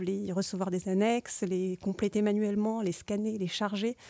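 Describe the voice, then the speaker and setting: At a moderate pace, a woman with a dark, mellow tone speaks with fairly even intonation on a very clean recording with a silent background. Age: 30s. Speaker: IT project manager. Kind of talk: podcast interview. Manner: hesitant, many filler sounds.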